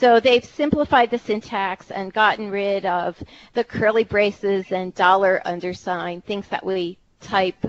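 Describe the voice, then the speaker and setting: With a Philadelphia accent, a woman speaks at medium pitch with ordinary pitch variation. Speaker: technical writer and presenter. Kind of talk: technical presentation.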